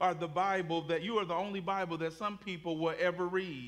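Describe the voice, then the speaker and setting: A man talks with a high pitch. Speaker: pastor. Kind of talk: sermon. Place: church.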